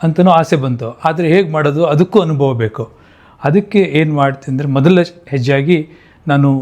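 Here is a man with an unremarkable speaking voice. His pitch is fairly high, with ordinary pitch variation. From Mandya district, Karnataka, India. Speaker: software engineer and film producer. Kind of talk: monologue to camera.

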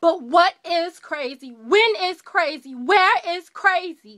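Against a quiet background, a woman projects a raised voice at an extremely high pitch, her tone bright, sharp and intense and her intonation lively. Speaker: actor performing a monologue. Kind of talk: dramatic monologue performance, in character as an accused woman addressing a doctor. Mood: defiant, questioning. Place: home room. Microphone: webcam.

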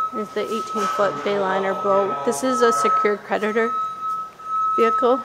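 The speech moves at a moderate pace while loud background noise continues beneath it. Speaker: auction house staff member giving a preview walkthrough. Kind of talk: auction preview walkthrough talking to camera. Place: garage. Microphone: phone near.

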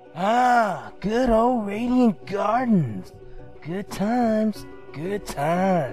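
Over clear background music, a put-on character voice with a fairly high pitch speaks at a very slow pace. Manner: laid-back, slangy.

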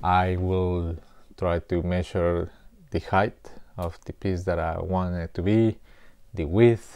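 Flat, monotone intonation at a fairly slow pace. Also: man. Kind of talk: tutorial. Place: studio. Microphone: lapel.

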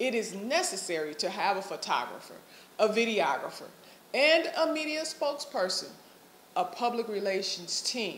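The speaker talks at a moderate pace. There is light background noise and audible room echo. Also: woman. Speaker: candidate. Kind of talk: campaign statement. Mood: firm, rebutting. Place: office. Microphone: phone near.

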